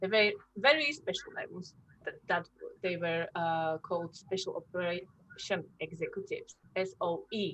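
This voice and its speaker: At a moderate pace, a woman speaks with a Slovak accent. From Slovakia. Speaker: workshop leader on war history. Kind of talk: educational talk to children. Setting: classroom workshop, also on zoom. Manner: halting, many fillers.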